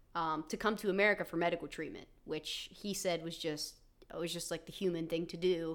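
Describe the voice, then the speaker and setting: A woman's plain, everyday voice, fairly low in pitch, at a fairly quick pace with fairly even intonation. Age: 20s. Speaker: podcast co-host. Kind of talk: casual chat about politics; reading notes aloud on history.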